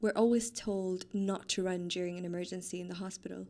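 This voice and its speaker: A woman's calm voice with a dark, mellow tone and ordinary pitch variation. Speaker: trainee doctor and pilates instructor. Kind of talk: casual interview chat.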